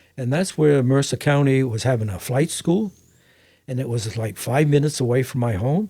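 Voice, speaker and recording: Somewhat breathy and dark, mellow in tone, a man's voice moves at a moderate pace with lively intonation. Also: medium pitch for a man. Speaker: private pilot. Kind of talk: interview answer.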